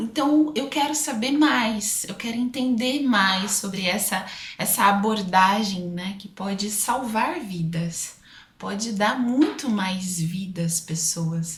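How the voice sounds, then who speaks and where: A woman with an interior São Paulo accent speaks very slowly with lively intonation, amid noticeable background noise and audible room echo. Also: medium pitch for a woman. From Brazil, interior of São Paulo state. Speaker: aesthetician and speaker. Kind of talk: podcast interview.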